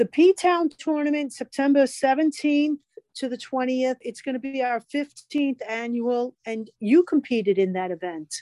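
Recorded dry and close with no echo, a woman speaks at a fairly slow pace in a high-pitched voice with a dark, mellow tone and lively intonation. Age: 60s. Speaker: flag football association co-host. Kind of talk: casual chat.

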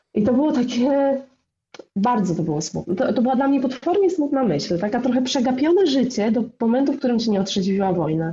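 Talking very fast, a woman with a high voice swings her pitch very widely. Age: 40s. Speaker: blogger. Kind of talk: casual chat.

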